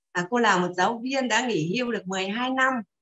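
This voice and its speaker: Over a quiet background, a woman talks at a fairly slow pace. Her fairly high voice has lively intonation. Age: 60s. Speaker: retired teacher, participant. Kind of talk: testimony. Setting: video call. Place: home room. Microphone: video call.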